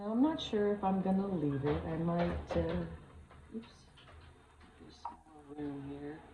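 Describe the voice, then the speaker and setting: A woman mumbling at a fairly slow pace, with long, frequent pauses, big swings in loudness, audible room echo and noticeable background noise. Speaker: resin crafting YouTuber. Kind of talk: casual crafting tutorial. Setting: at home with dogs and chickens. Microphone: no microphone, camera mic.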